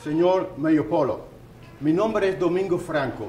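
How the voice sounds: Over audible room echo, a man with a fairly high pitch and slightly mellow tone speaks at a fairly slow pace with lively intonation.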